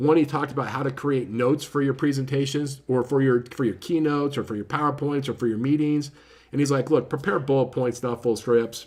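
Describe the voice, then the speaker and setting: Fairly quick and fairly even in intonation, a man speaks at a fairly high pitch. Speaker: book reviewer. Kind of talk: casual book review talk. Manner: fast; lots of filler words.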